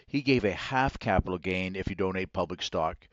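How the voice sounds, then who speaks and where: The speaker has a Maritime Canadian accent, a fairly quick pace and ordinary pitch variation. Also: man. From Nova Scotia, Canada. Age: 60s. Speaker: financial advisor, company CEO. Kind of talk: podcast interview.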